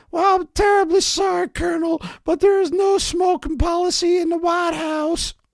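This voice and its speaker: A man's put-on character voice, squeaky and extremely high-pitched, at a moderate pace. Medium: read story. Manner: polite, officious.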